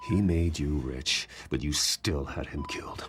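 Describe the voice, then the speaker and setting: Growling in a put-on character voice, a man speaks at a very deep, low pitch with ordinary pitch variation and a moderate pace. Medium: video game. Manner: controlled, stern.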